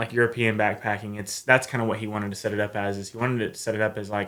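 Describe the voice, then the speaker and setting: Someone speaks very fast in an Appalachian accent, with ordinary pitch variation. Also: man. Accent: Southern US, Appalachian. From US South, north Georgia Appalachian mountains. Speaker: long-distance hiker. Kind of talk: casual interview.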